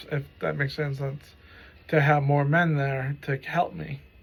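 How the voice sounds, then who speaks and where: Somewhat breathy, a man speaks at a moderate pace. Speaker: stroke survivor. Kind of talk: personal story monologue. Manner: halting; casual, profanity.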